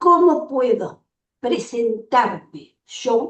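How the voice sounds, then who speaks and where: Speaking at a high pitch, a woman makes very wide pitch swings. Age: 90. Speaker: audience member. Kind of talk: audience question. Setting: video call.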